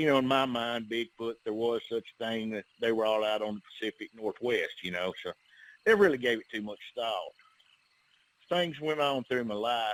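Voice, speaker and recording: Delivered at a moderate pace in an Alabama accent, the speech has ordinary pitch variation. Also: man, medium pitch for a man. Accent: Southern US (Alabama). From US South, northern Alabama. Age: 60s. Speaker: bigfoot investigator, outdoorsman. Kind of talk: podcast interview, personal encounter story. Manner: relaxed, conversational with many fillers.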